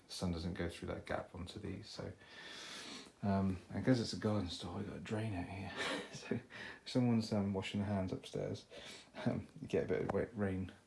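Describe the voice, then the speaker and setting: A man mumbles quietly in a very deep, low voice, a little breathy, with fairly even intonation. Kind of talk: casual talk to camera. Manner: quiet, occasional mumbling.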